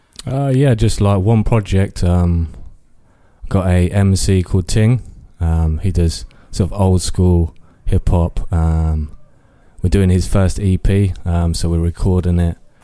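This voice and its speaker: In an East Midlands accent, a man speaks at a fairly slow pace with a very deep, low pitch. His tone is dark and mellow, his loudness very even and his pitch variation ordinary. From Northampton, England. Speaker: music producer. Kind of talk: interview. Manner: halting.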